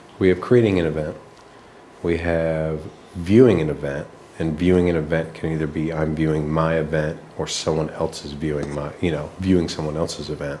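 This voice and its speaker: A man speaks with a very deep, low pitch and fairly even intonation at a fairly quick pace. Audible room echo surrounds the voice. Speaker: app designer. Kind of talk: work meeting presentation. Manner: soft-spoken, kept low; halting, many fillers.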